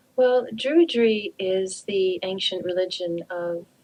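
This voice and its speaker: Noticeable background noise fills this recording. A woman speaks at a medium pitch. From Canada. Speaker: druid priestess and author. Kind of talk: radio interview.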